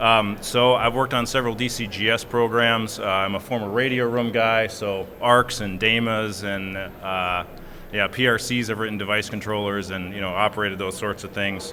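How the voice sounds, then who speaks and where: A man with a Minnesota accent speaks in a fairly low pitch, monotone and flat, at a moderate pace with hardly any pauses. Noticeable background noise and audible room echo surround him. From US Midwest, Minnesota. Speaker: software engineer, panelist. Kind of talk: conference panel discussion.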